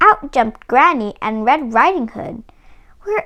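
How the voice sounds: Intonation runs lively in this natural reading voice.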